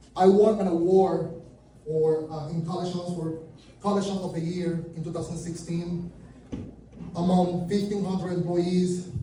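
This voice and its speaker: A high-pitched man with a Venezuelan accent in a monotone, flat intonation at a moderate pace, with light background noise and audible room echo. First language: Spanish. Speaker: junk removal business speaker; presenter. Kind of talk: conference talk. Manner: halting. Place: meeting room.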